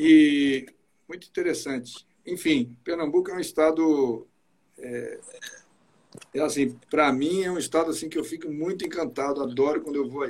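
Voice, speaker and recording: A man speaks at a moderate pace with a fairly high pitch and ordinary pitch variation. He takes long, frequent pauses. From Espírito Santo, Brazil. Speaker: musician and live-stream host. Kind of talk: casual interview on an Instagram live. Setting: video call. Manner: animated.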